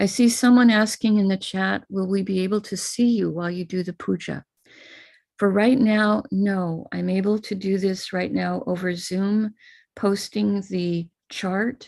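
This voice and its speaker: A woman's plain, everyday voice with an American accent, medium in pitch, fairly even in intonation, at a fairly slow pace. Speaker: spiritual teacher leading puja. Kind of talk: live online ritual instruction. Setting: video call.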